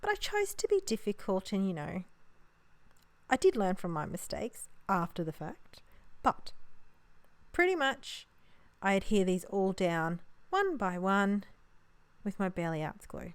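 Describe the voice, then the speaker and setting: In an Australian accent, a woman speaks fairly slowly with long, frequent pauses, on a very clean recording with a silent background. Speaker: papercraft card maker. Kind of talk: crafting tutorial voiceover. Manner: casual, chatty.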